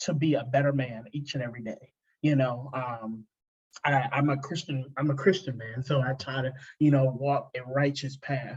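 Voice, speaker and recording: A man with a fairly high, somewhat breathy voice talks at a moderate pace with fairly even intonation. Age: 20s. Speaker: podcast host. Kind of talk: casual interview chat. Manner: halting, many fillers and repeats.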